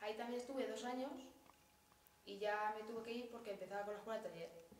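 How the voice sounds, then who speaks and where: Her fairly high voice moves with fairly even intonation, broken by long, frequent pauses. There is light background noise and audible room echo around this woman. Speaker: workshop participant. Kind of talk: personal testimony. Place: hall. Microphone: camera far.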